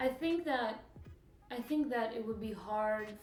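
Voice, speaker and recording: Speaking in a Russian accent at a fairly slow pace, a woman with a fairly high pitch uses lively intonation, with audible room echo and noticeable background noise. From Russia, moved to US at 14. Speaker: interviewee. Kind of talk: casual interview.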